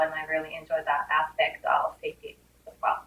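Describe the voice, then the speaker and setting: A woman with a Japanese accent, at a moderate pace. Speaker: safety coordinator. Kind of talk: career talk interview.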